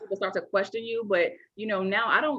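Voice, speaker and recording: Here is a woman with a slight Southern US accent. Her pitch varies in an ordinary way. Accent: slight Southern twang. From US Midwest, west side of Chicago. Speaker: entrepreneur, founder of a women's business network. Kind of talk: casual interview chat. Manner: fast.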